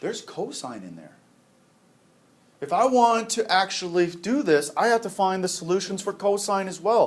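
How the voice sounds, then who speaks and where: Speaking at a moderate pace, a high-pitched man shows ordinary pitch variation and big swings in loudness. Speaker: math teacher. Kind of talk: classroom lecture.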